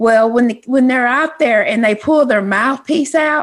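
A woman with a Texan accent speaks at a moderate pace in a high voice, her pitch rising and falling in an ordinary way. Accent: Texas country. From Texas. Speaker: radio host. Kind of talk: casual chat.

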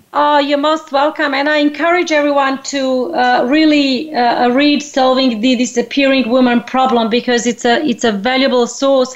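Noticeable background noise sits behind a woman speaking at a high pitch and a moderate pace. Her intonation is fairly even and her loudness very even. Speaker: radio host. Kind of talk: interview. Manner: hesitant, many fillers.

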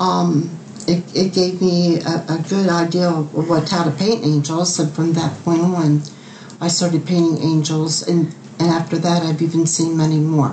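A woman speaks at a moderate pace with a fairly low pitch and monotone, flat intonation. Her loudness stays very even against noticeable background noise. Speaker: angel painter. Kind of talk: personal testimony. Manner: hesitant, halting.

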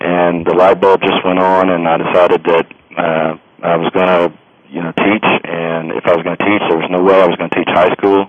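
With an Alabama accent, a man speaks fairly quickly at a very deep, low pitch in monotone, flat intonation against noticeable background noise. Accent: US Southern (Alabama). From Alabama, Birmingham area. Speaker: history professor and author. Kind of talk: interview. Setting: phone call. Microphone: old landline phone.

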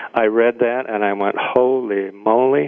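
A man with a Midwestern accent, medium pitch, fairly even intonation and a fairly slow pace. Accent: midwestern American. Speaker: radio talk show guest host. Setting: radio studio.

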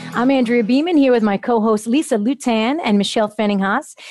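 A normal speaking voice from a woman, fairly high in pitch, with ordinary pitch variation, a moderate pace, a quiet background, and a dry, close sound with no echo. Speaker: health radio co-host. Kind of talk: casual chat.

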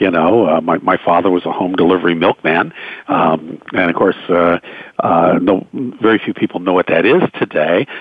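A man talks in a very deep, low pitch at a very even loudness, with noticeable background noise behind him. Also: ordinary pitch variation, moderate pace. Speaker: radio news anchor and author. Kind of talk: interview.

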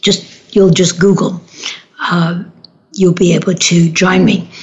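A woman's voice, medium in pitch, comes through noticeable background noise. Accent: American. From New York City, Manhattan. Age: 70s. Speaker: radio host and relationship therapist. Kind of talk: casual monologue on a talk radio show. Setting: studio.

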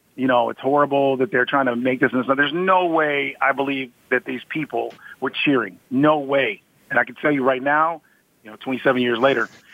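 A man with an American accent and a normal speaking voice, medium in pitch, at a moderate pace with fairly even intonation. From Michigan, US. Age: 50s. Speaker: self-defense instructor. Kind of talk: interview.

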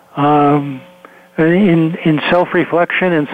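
Noticeable background noise accompanies a man whose fairly high voice keeps fairly even intonation. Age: 70s. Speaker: psychologist and author. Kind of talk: radio interview.

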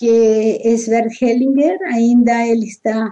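Very slow speech from a woman, fairly high in pitch, with a dark, mellow tone and fairly even intonation. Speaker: therapist. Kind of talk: interview.

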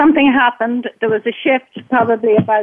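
The speaker is a woman. She talks with an Irish accent. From Ireland. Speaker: caller. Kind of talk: casual chat. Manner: halting.

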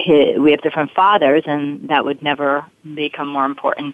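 A woman with an American accent and a very deep, low pitch speaks at a moderate pace. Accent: slight Brooklyn accent, mostly trained away. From Brooklyn, New York. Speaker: forgiveness coach and performer. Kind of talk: interview.

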